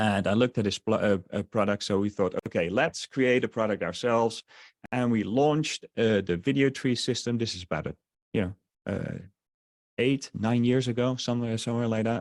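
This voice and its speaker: The sound is dry and close with no echo as a man speaks at a fairly quick pace, with medium pitch and ordinary pitch variation. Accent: slight Dutch. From Netherlands. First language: Dutch. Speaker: online marketer. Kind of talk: sales webinar. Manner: halting, many fillers.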